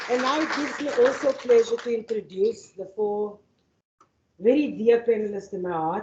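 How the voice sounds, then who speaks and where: Someone with a South African accent speaks at a fairly quick pace. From Northern Cape, South Africa. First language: Afrikaans. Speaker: activist and panel facilitator. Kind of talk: keynote address and panel introduction. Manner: halting, with fillers and repetitions.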